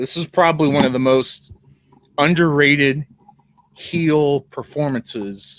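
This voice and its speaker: Using a plain, everyday voice, a man talks at a fairly slow pace in a fairly high pitch with ordinary pitch variation. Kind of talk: casual podcast conversation.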